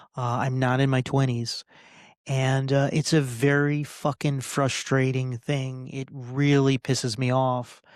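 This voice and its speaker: On a very clean recording with a silent background, a man of medium pitch speaks fairly slowly in a monotone, flat intonation. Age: 40s. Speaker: podcast host and political candidate. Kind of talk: solo podcast rant. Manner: halting, many fillers.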